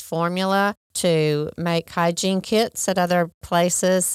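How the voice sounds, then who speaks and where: Recorded dry and close with no echo, a woman with an American accent has an ordinary speaking voice at a fairly low pitch. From Oklahoma, US. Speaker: non-profit executive director. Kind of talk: interview. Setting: studio.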